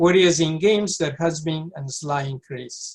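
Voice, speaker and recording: Speaking with a South American accent, a man uses a high pitch, ordinary pitch variation and a fairly slow pace. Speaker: pediatric neurologist. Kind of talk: lecture.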